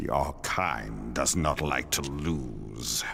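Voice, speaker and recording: Here a man puts on a character voice that is very deep and low, with ordinary pitch variation. Clear background noise runs behind him. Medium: video game. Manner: grave, measured.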